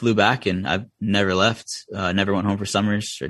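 Speaking at a fairly quick pace, a man talks with a Vermont accent. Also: quiet background. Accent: Vermont rural. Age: 30s. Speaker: racing crew chief. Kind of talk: casual interview chat.

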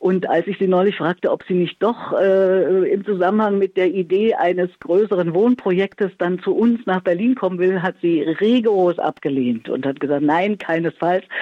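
A woman with an unremarkable speaking voice talks at a moderate pace and medium pitch, with ordinary pitch variation, very even loudness and hardly any pauses. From Thuringia, Erfurt. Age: 60s. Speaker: radio presenter and communication coach. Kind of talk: interview. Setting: phone call.

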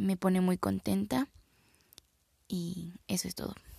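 A woman talks at a very slow pace in a dry, close sound with no echo. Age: 20s. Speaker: university student. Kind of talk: personal video reflection. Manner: halting, with fillers and repetitions.

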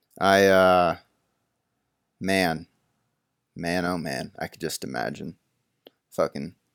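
At a fairly slow pace, a man speaks with a very deep, low pitch and vocal fry, the sound dry and close with no echo in a very clean recording with a silent background. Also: long, frequent pauses, big swings in loudness. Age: 20s. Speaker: solo podcaster. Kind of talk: casual monologue. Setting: in bed at home. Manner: rambling, laid-back.

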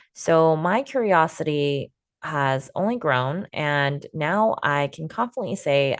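With lively intonation and a very deep, low pitch, a woman speaks against a quiet background. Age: 20s. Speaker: podcast host and video producer. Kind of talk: solo podcast monologue.

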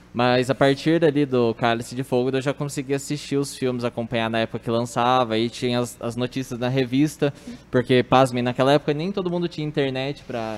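With an ordinary speaking voice, a man at medium pitch talks at a fairly quick pace using fairly even intonation. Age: 20s. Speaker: office worker and film fan. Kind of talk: casual chat.

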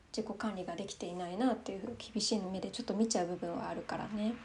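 The voice sounds somewhat breathy, with fairly even intonation. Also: woman. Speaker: solo podcast host. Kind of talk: casual monologue while drinking wine.

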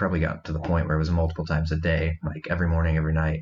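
Here a man talks at a very fast pace with a very deep, low pitch. His voice is somewhat breathy, with a US Midwestern accent. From Iowa, US Midwest. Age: 20s. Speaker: guest sharing recovery story. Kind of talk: testimony. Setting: remote call.

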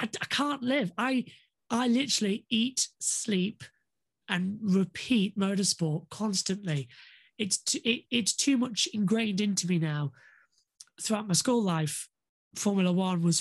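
A woman speaks with a northern English accent at medium pitch, fairly slowly, with lively intonation and a somewhat breathy sound. Her loudness stays very even over a quiet background. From northern England. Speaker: motorsport commentator. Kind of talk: casual interview.

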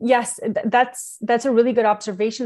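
This woman has a plain, everyday voice and talks at a fairly quick pace. Her intonation is fairly even, and the background is quiet. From Quebec, Canada. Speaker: entrepreneur and parenting advisor. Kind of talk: interview.

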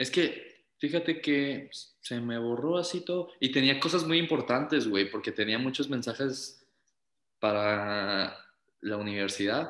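A man speaks in an ordinary speaking voice at medium pitch. His pace is fairly slow and his intonation lively. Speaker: podcast co-host. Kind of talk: casual chat.

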